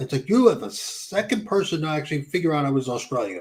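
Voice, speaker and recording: In a New Jersey accent, a man speaks at a very fast pace, somewhat breathy and fairly high in pitch, with very wide pitch swings. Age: 60s. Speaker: YouTuber. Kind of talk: casual chat.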